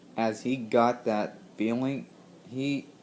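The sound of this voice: The clip presents an unforced reading voice.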